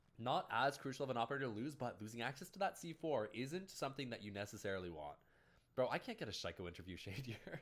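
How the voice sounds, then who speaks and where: With a Canadian accent and a medium pitch, a man talks very fast, his pitch swinging very widely. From Canada. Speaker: esports caster and streamer. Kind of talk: casual chat with stream viewers; live commentary. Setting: livestream. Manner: animated.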